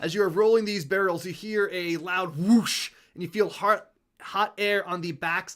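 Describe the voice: A quiet background behind plain reading aloud, the intonation fairly even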